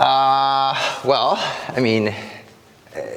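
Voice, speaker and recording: Noticeable background noise and audible room echo surround the man speaking. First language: Korean. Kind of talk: casual interview chat. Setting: walking from the sacristy, then driving. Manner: hesitant, many fillers.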